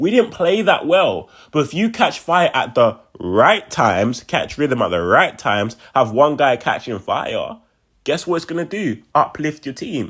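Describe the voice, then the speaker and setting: With a fairly high pitch and vocal fry, a man speaks at a fairly slow pace in an animated tone with very wide pitch swings. The recording is very clean, with a silent background. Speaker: sports fan commentator on video channel. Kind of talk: casual post-game reaction monologue.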